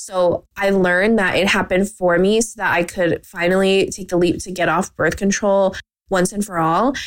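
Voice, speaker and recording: A woman with a Canadian accent and a plain, everyday voice speaks at a medium pitch and a moderate pace. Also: fairly even intonation. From Canada. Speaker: podcast host and marketing business owner. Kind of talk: casual solo chat.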